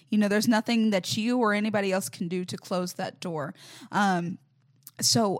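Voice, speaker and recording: Over a very clean recording with a silent background, a woman with an American accent talks at a moderate pace. Her voice is medium in pitch and somewhat breathy. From US South, Mobile, Alabama. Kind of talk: casual interview. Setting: parish.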